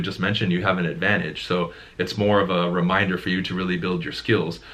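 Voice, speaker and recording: A man talks very fast with ordinary pitch variation and a bright, sharp tone, and audible room echo surrounds his voice. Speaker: real estate coach. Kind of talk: casual discussion.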